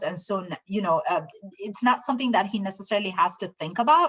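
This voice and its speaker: At a fairly quick pace, a woman talks in an ordinary speaking voice of medium pitch. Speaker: children's author. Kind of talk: author talk.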